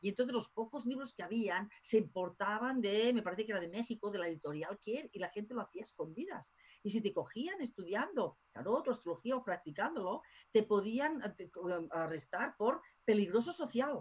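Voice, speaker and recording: Very wide pitch swings in a somewhat breathy voice. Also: woman, fairly high pitch for a woman, moderate pace. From Spain. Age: 50s. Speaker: tarot school director. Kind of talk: interview.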